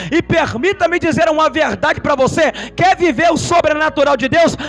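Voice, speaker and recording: A man's animated voice with ordinary pitch variation, over noticeable background noise. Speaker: preacher. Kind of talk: sermon.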